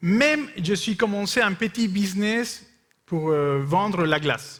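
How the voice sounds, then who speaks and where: This man has a high pitch and a non-native accent. He speaks very slowly at very even loudness. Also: lively intonation. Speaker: missionary speaker. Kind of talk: sermon with consecutive interpretation. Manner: short phrases with pauses for interpreter; hesitant, with fillers.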